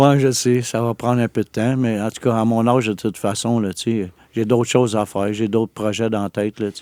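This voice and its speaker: A man's dark, mellow, medium-pitched voice in a flat monotone, dry and close with no echo, on a very clean recording with a silent background. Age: 60s. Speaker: exonerated former prisoner. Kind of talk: interview testimony. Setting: studio. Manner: halting.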